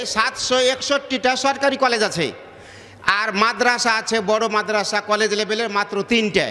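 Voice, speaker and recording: The voice is raised and projected, with fairly even intonation. Noticeable background noise sits behind it. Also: man. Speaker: Islamic preacher. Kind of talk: religious sermon to a gathering. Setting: outdoor public gathering, PA system.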